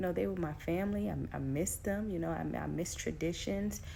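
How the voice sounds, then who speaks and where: A woman speaks at a fairly quick pace, with audible room echo around her voice. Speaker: faith coach. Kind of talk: inspirational talk.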